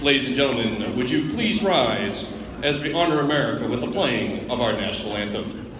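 Talking at a fairly quick pace, a man with a fairly high pitch and very wide pitch swings is heard amid audible room echo and noticeable background noise. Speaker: public address announcer. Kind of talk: sports public address announcement, starting lineups. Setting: gymnasium PA system. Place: stadium. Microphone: handheld.

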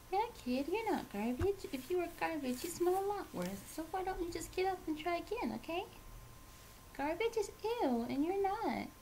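A female-sounding put-on character voice with an extremely high pitch and a cheerful tone moves at a moderate pace over clear background noise. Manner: childish, cheerful.

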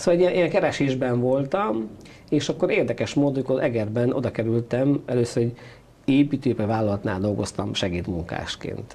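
With lively intonation, a man rattles along at a very fast pace. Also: medium pitch for a man. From Transylvania, Székely Land (Romania); Transylvania, Romania. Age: 50s. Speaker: parish priest guest. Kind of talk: interview; interview answer. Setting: studio. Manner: halting. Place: studio. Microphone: lapel.

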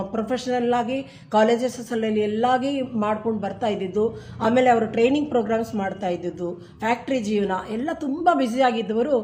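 A woman with a fairly high pitch and ordinary pitch variation speaks over noticeable background noise. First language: Tamil (speaking Kannada). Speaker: amateur singer. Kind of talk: interview.

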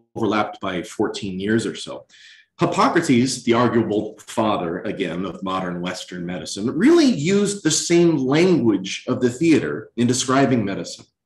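A man in an American accent talks at a fairly quick pace with very wide pitch swings, and audible room echo surrounds his voice. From Virginia (Lynchburg); Virginia. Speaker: chief resident physician, former actor; former actor. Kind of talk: lecture. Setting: hospital auditorium, in person and streamed. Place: hall.

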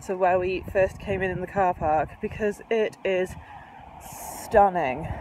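A woman's voice, dry with no echo, over noticeable background noise. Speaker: vlogger. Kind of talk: casual vlog chat. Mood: cheerful, enthusiastic. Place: street. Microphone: phone near.

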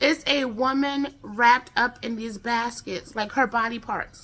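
Speaking with an American accent at a moderate pace, a woman has a bright, sharp tone and sounds animated. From United States. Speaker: true crime YouTuber. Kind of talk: true-crime narration, casual storytelling. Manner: conversational, informal, chatty; animated, with filler words. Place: home room. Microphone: phone near.

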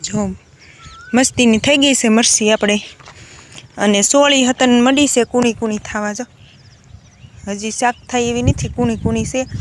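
A woman speaks with a fairly high pitch and fairly even intonation. Noticeable background noise sits behind her. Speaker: village vlogger. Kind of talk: vlog narration. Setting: outdoors on farm.

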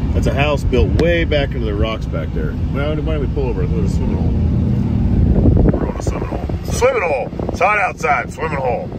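A fairly quick pace comes through loud background noise in a dry sound with no echo. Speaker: driver or passenger vlogger. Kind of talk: casual vlog chat. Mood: joking, relaxed banter. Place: car. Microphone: camera far.

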